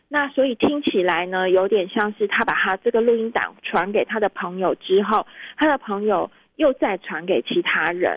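At a moderate pace, a woman speaks in a medium pitch with lively intonation. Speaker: fact-check editor. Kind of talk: interview. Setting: remote call-in.

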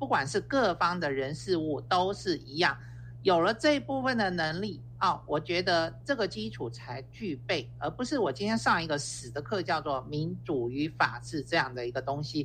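The speech keeps a moderate pace with hardly any pauses. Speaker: university professor. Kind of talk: radio interview.

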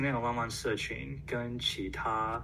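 A man talks at a very slow pace over noticeable background noise, with audible room echo. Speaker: survey organizer and asexual community volunteer. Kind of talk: interview. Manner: halting.

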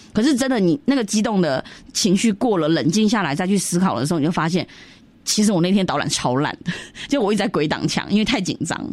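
Woman's voice of medium pitch at a very fast pace, with very wide pitch swings. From Myanmar, Yunnanese Chinese community. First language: Yunnanese (speaking Chinese). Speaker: cultural organizer. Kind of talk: radio interview.

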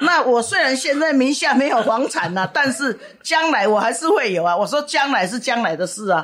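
A high-pitched woman at a fairly quick pace with hardly any pauses and very wide pitch swings, amid noticeable background noise. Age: 60s. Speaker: professional matchmaker. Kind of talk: interview. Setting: on location at her matchmaking agency.

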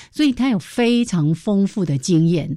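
With a Taiwanese accent, a somewhat breathy woman speaks at a moderate pace and medium pitch, her voice making very wide pitch swings, on a very clean recording with a silent background. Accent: Taiwanese Mandarin. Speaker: radio host. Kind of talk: educational radio chat. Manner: animated.

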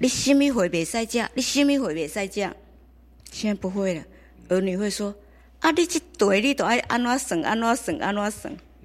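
A woman with an ordinary speaking voice uses lively intonation in a very clean recording with a silent background. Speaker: community elder-care organizer. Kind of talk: interview.

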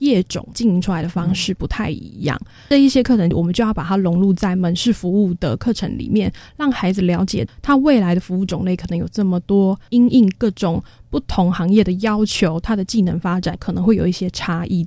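Speaking at a moderate pace, a woman with a medium-pitched, somewhat breathy voice and a dark, mellow tone uses lively intonation. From Taiwan, Taoyuan. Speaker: special education teacher. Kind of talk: radio interview.

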